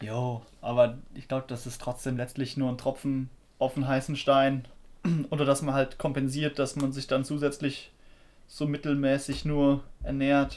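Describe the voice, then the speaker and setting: In a fairly high voice, a man speaks at a fairly slow pace with monotone, flat intonation. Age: 20s. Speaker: podcast co-host, software worker. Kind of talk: casual chat.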